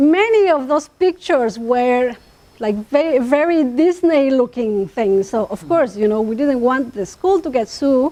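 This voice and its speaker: A woman with an Oaxacan accent speaks at a high pitch with a dark, mellow tone. Her pace is fairly slow and her intonation lively. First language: Chatino. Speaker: linguist. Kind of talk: academic talk.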